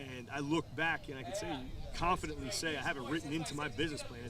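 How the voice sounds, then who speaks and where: A man with a fairly high pitch and a strong New York accent talks at a very fast pace. Noticeable background noise and audible room echo fill the recording. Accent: New York, strong, persistent. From New York, Long Island. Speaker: business owner, military veteran. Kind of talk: interview. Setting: outdoors at golf course. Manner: halting, repeats words.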